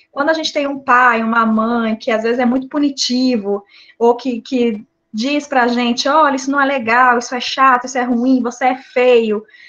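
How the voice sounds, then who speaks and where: A high-pitched woman's voice with a slight Mato Grosso do Sul accent and monotone, flat intonation. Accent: slightly drawling Mato Grosso do Sul. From Brazil, Mato Grosso do Sul. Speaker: psychologist. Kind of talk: online talk.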